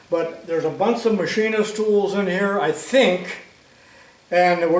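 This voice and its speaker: High-pitched male speech with fairly even intonation, plus audible room echo and noticeable background noise. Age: 80s+. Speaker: retired shop teacher, tool video maker. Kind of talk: casual tutorial. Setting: home workshop. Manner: relaxed, folksy.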